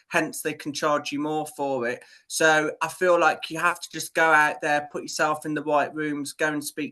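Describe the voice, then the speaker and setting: The speaker talks at a moderate pace in a British accent. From UK. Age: 20s. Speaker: PR business owner. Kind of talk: podcast interview. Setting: remote call.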